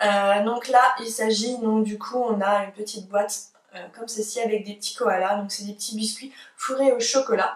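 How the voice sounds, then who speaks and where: Her intonation monotone and flat, a woman talks at a moderate pace with big swings in loudness. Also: fairly high pitch for a woman. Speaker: beauty and lifestyle youtuber. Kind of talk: casual haul video. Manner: hesitant with frequent fillers.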